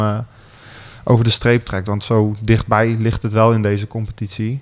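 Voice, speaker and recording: A man's fairly low, flat monotone at a moderate pace. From Gelderland, Netherlands (Otterlo). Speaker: football team captain. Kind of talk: radio interview. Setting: club boardroom.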